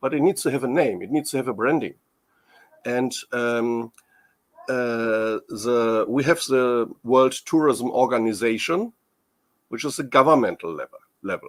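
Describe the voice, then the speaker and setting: Using a medium pitch with ordinary pitch variation, a man with a German accent speaks at a moderate pace, leaving long, frequent pauses. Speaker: tourism industry expert. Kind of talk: interview. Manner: halting.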